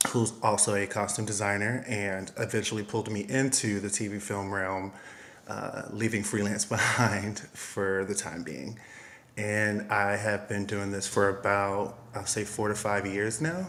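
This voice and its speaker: A man with an American accent speaks fairly slowly at a fairly low pitch. His intonation is fairly even, and room echo is audible. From US, Miami, Florida. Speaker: costume designer and stylist. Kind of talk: interview.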